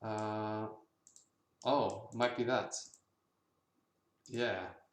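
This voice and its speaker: Monotone, flat intonation with audible room echo. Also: man, fairly low pitch for a man. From Germany, Berlin. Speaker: indie game developer, livestreamer. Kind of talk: casual livestream chat.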